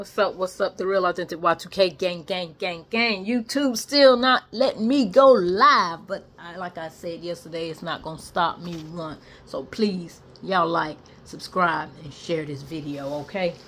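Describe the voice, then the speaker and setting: A woman with a fairly low pitch talks at a moderate pace with lively intonation and big swings in loudness, over light background noise. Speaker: food vlogger. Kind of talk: casual vlog chat. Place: home room. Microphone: phone near.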